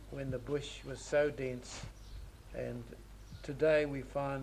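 A man's voice over light background noise. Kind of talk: interview answer. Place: home room. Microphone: old recording.

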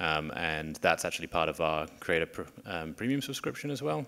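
A man's very deep, low voice in a British accent with a bright, sharp tone. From UK. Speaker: tech company growth executive; panelist. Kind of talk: panel discussion. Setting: stage with audience. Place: stage. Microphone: handheld.

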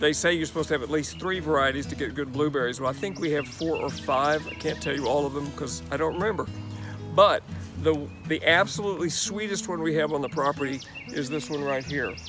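Clear music plays behind a man talking at a very fast pace with ordinary pitch variation, the sound dry with no echo. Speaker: host. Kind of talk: casual garden tour talk. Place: garden.

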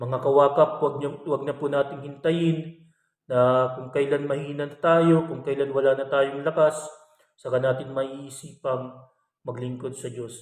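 With a fairly high pitch and a fairly slow pace, a man delivers his words in a monotone, flat intonation. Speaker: religious reflection vlogger. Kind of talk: bible reflection. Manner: polite, warm address.

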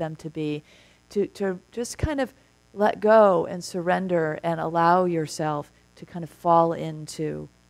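Speaking at a fairly slow pace, a woman with a fairly low pitch shows ordinary pitch variation and big swings in loudness. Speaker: minister giving a talk. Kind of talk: sermon. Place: church.

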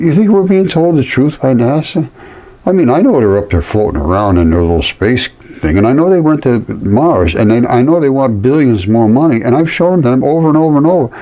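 Speaking at a fairly quick pace, a man lets his pitch swing very widely. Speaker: channel host explaining a map. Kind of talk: casual commentary. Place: home room. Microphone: phone near.

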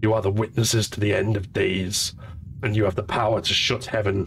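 Over clear background noise, a man puts on a raspy, menacing character voice at a fairly low pitch and a moderate pace. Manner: menacing, prophetic.

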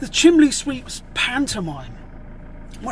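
Light background noise sits under this man's voice. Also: dry sound with no echo. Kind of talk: casual vlog chat. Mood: humorous, exasperated storytelling. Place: car. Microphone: phone near.

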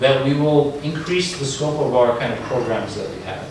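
There is strong room echo and noticeable background noise. A man speaks at a moderate pace. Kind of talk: answer to an audience question. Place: classroom. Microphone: camera far.

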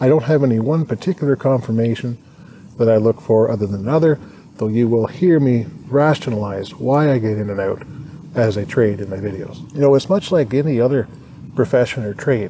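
Light background noise sits behind a man talking at a fairly quick pace. The sound is dry with no echo, and his pitch variation is ordinary. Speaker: day trader vlogger. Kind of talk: casual vlog chat. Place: garden. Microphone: phone near.

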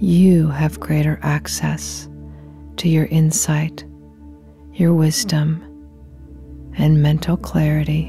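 A very slow pace, with a dry sound free of echo and light background noise. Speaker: hypnotherapist. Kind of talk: guided meditation. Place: studio.

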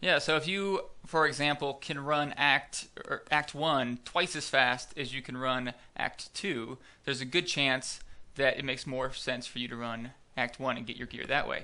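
A man speaks at a moderate pace with a bright, sharp tone and fairly high pitch. His pitch varies in an ordinary way against a quiet background. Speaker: gaming YouTuber. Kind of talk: casual gameplay commentary.

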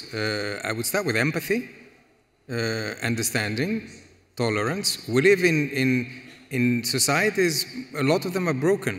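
Speaking at a moderate pace with a Greek accent, a man uses very wide pitch swings and long, frequent pauses. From Greece. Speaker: economic policy expert; panelist. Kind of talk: panel discussion. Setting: stage with audience. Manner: halting, many repetitions. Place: hall.

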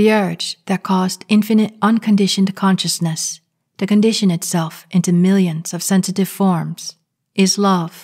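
The recording is very clean, with a silent background, as a woman speaks at a fairly slow pace. Her medium-pitched, somewhat breathy voice stays flat and monotone. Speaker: channel creator, spiritual commentator. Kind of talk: guided meditation and spiritual commentary, reading a 1950s radio talk aloud.

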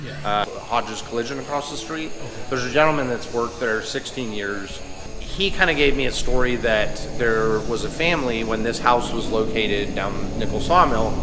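There is noticeable background noise as a man talks. He keeps a moderate pace with ordinary pitch variation. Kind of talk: interview answer. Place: cafe.

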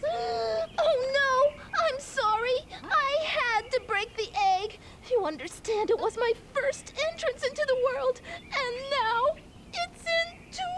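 A cartoonish character voice, female-sounding and extremely high in pitch, moves at a fairly slow pace. Clear background noise can be heard. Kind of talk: children's puppet show comedy. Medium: puppet show. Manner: theatrical, comic, self-important.

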